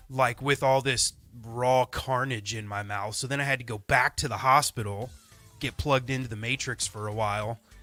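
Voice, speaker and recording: Over music in the background, a man speaks at a medium pitch and moderate pace, his intonation fairly even and his sound dry and close with no echo. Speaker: podcast co-host. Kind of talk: casual chat. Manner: halting.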